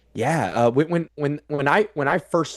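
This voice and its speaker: This man's voice sits fairly high for a man, recorded with a dry, close sound and no echo. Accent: Midwestern American. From US Midwest (Council Bluffs, Iowa). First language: American Sign Language. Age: 30s. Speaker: transpersonal psychologist. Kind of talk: casual interview conversation. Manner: halting, many repetitions.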